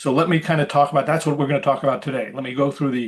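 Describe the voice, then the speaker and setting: A man with an American accent speaks at a fairly high pitch. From New York City area. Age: 70s. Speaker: hiring consultant, recruiter. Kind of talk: webinar presentation. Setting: video call. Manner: fast; animated.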